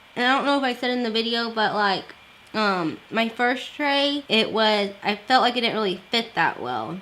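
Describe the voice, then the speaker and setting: With noticeable background noise behind her, a woman speaks at a moderate pace and ordinary pitch variation. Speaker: beauty and lifestyle vlogger. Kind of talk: casual vlog talk. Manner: casual, filler-heavy.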